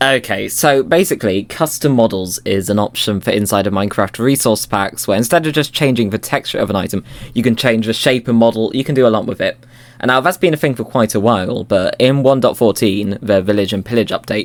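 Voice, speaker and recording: A man of medium pitch talks at a fairly quick pace with ordinary pitch variation. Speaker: Minecraft custom model creator. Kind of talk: casual podcast chat. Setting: outdoors. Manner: fast.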